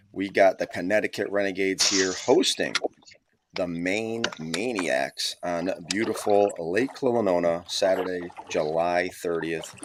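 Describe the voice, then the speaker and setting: This man's voice is very deep and low. He speaks quietly. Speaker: live stream commentator for kayak fishing league. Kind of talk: live commentary. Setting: at home, early morning. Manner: quiet, keeping voice down.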